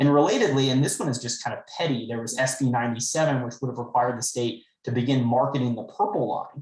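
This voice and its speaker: A man's medium-pitched voice, very fast, with fairly even intonation. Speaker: state legislator. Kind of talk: town hall briefing.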